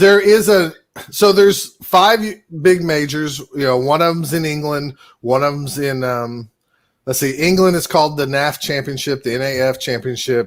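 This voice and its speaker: In an American accent, a man talks at a moderate pace. His pitch is fairly high, with ordinary variation. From United States. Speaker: podcast co-host. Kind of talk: casual chat. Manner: hesitant, many fillers.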